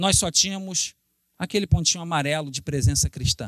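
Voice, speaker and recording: Recorded very cleanly against a silent background, with a dry, close sound and no echo, a man with a Carioca accent speaks in an animated tone with ordinary pitch variation. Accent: carioca Brazilian Portuguese. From Brazil, Rio de Janeiro. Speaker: missionary preacher. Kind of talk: sermon.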